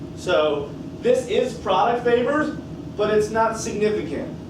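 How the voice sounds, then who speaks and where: Amid noticeable background noise and audible room echo, the speaker talks at a fairly slow pace with ordinary pitch variation. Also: man. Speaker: chemistry teacher. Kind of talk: classroom lecture. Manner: casual, conversational.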